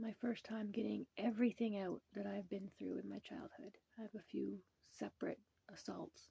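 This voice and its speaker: A woman talks at a moderate pace with a Canadian accent. The sound is dry and close, with no echo. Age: 40s. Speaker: mental health storyteller. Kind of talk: personal testimony.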